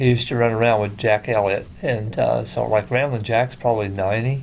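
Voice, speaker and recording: Someone with an Ozarks accent talks at a moderate pace. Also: man. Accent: Ozarks rural Southern American. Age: 60s. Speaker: talk show host and country singer. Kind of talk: casual interview chat.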